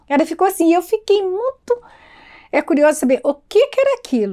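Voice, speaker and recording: At a fairly quick pace, a woman speaks in a dark, mellow tone with very wide pitch swings. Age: 70s. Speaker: oral tradition keeper. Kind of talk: documentary interview storytelling. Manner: halting with repetitions.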